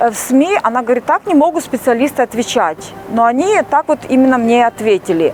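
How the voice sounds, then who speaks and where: A woman's high voice with very wide pitch swings, over noticeable background noise. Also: fairly quick pace, very even loudness, dry, close sound with no echo. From Ukraine. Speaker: YouTube vlogger. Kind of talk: casual vlog monologue. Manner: hesitant, many filler sounds.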